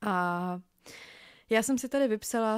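In a very clean recording with a silent background and a dry, close sound with no echo, a woman speaks at a fairly slow pace. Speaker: podcast host. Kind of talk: solo podcast monologue. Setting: home. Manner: halting, frequent fillers.

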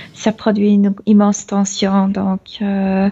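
A woman speaks at a very slow pace. Her voice is somewhat breathy, with a dark, mellow tone. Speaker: channeling medium. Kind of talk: trance channeling. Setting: video call. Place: home room. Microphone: video call.

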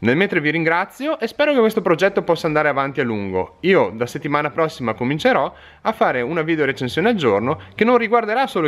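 Talking at a very fast pace, a man with a fairly high voice and vocal fry swings his pitch very widely. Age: 30s. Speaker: fishing tackle shop owner. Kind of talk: direct-to-camera video appeal. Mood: earnest, friendly. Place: shop. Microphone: phone near.

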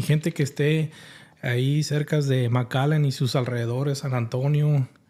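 A man's somewhat breathy voice sits at a fairly high pitch with a dark, mellow tone and fairly even intonation. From Mexico, Guanajuato. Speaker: livestream podcast host. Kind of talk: casual chat. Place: studio. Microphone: studio mic.

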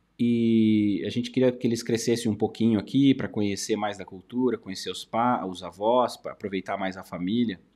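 Barely pausing, a man talks at a fairly quick pace with a dark, mellow tone, fairly even intonation and big swings in loudness. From Brazil, São Paulo interior. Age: 40s. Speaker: YouTuber and study-abroad agency owner; YouTuber. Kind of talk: casual commentary video. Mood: calm, reflective. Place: studio.

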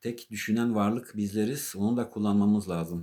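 This man has a fairly low pitch and a dark, mellow tone, speaking at a moderate pace in a monotone, flat intonation with a slight non-native accent. The recording is very clean, with a silent background. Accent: slightly non-native Turkish. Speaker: artist and religious vlogger. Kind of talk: religious talk to camera. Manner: halting, with many fillers.

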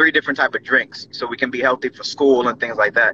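The recording of a man's voice is dry with no echo, with light background noise behind it. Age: 20s. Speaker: business owner. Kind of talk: interview. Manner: halting, many fillers. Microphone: video call.

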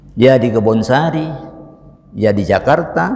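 Pitch swings very widely throughout. The delivery is fairly slow. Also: man. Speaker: religious teacher. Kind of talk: sermon. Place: church. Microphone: lapel.

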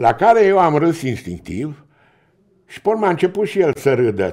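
A man speaks at a moderate pace in a dark, mellow tone with vocal fry against a quiet background. His pitch swings very widely and his loudness shifts a lot. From Romania. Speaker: relative of a famous philosopher; podcast guest. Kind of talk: interview. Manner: halting. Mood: reflective, reminiscing. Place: studio. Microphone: studio mic.

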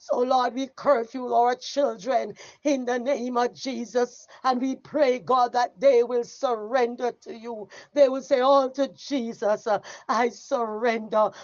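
A woman with a Jamaican accent speaks fairly slowly in a high pitch, her intonation fairly even. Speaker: evangelist leading prayer. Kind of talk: fervent intercessory prayer, rising to a climactic spoken benediction. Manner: impassioned, repetitive petitions punctuated by cries of oh God; rhythmic, building preacher cadence ending in emphatic amens.

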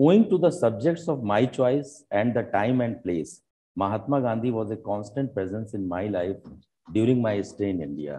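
At a moderate pace, a man talks with a fairly low pitch and a dark, mellow tone. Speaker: event host or speaker. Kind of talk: formal speech. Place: hall. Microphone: lapel.

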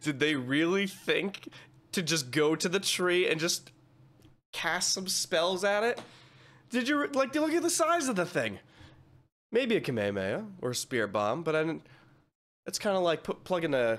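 A man talks at a moderate pace with long, frequent pauses. His pitch swings very widely. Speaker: reaction streamer. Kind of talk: casual reaction commentary. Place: home room. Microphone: studio mic.

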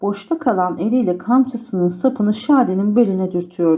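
The plain reading aloud shows ordinary pitch variation.

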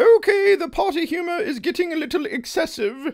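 In a cartoonish character voice, a man speaks at an extremely high pitch and a fairly quick pace. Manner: concerned then dry.

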